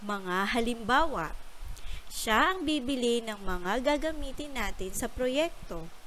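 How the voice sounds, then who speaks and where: A woman speaks very slowly at a high pitch, her pitch swinging very widely. Noticeable background noise and audible room echo fill the recording. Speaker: primary school teacher. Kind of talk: lesson for young pupils. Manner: slow and clear.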